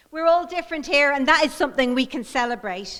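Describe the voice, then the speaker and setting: A woman speaks in an Irish accent. Her intonation is lively. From Ireland. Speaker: mayoral candidate, politician. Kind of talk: political speech. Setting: stage with audience.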